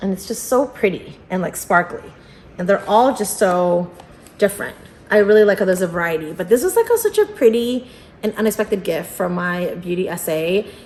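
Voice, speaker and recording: A woman's animated, medium-pitched voice at a moderate pace with ordinary pitch variation. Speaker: unboxing youtuber. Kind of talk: casual vlog unboxing. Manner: animated, filler-heavy.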